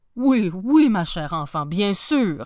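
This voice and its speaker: A woman puts on a character voice with very wide pitch swings. She talks at a fairly slow pace. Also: medium pitch for a woman. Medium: read story. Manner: warm, gentle.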